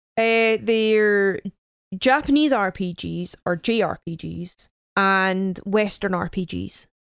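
Recorded dry and close with no echo, a woman speaks at a very slow pace with ordinary pitch variation. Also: medium pitch for a woman. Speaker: podcast co-host. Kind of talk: casual chat. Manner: bright children's-show-host energy.

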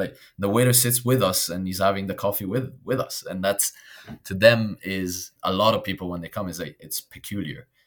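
A man's fairly low voice at a very fast pace, with ordinary pitch variation. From Italy, raised in Belgium. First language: Italian. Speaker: expat interviewee, corporate employee. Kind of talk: casual interview. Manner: animated, laughs often.

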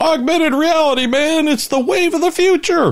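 Someone puts on a character voice, high-pitched and at a moderate pace. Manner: excitable, eccentric.

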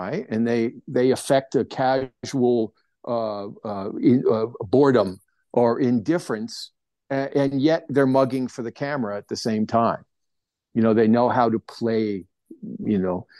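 At a fairly slow pace, a man with a medium pitch speaks in a dark, mellow tone. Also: ordinary pitch variation, dry, close sound with no echo, quiet background. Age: 60s. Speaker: plein air painter and art teacher. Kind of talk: casual interview chat. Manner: hesitant, many fillers.

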